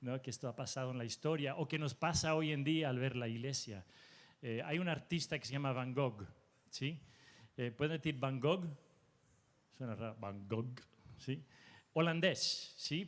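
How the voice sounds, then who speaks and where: A man with a Spanish accent, ordinary pitch variation, and long, frequent pauses. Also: medium pitch for a man. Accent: Spanish (Spain) accent, acquired. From Mexico. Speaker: preacher. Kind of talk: sermon.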